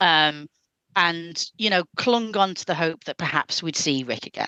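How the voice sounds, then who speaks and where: A woman with a British accent speaks at a fairly low pitch, in a bright, sharp tone with ordinary pitch variation. Her pace is fairly slow, and the sound is dry and close with no echo. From United Kingdom. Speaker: podcast guest panelist. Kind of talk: casual chat. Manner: hesitant, many fillers.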